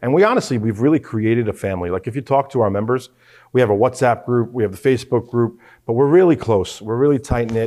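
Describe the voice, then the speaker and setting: A man with an American accent speaks at a very fast pace. His tone is dark and mellow, and the background is quiet. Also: medium pitch for a man, ordinary pitch variation. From New York, Queens. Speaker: watch club founder. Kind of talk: casual chat.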